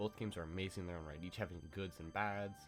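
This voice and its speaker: Music plays in the background as a man speaks. His very deep, low voice shows ordinary pitch variation. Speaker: gaming video creator. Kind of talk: video essay narration.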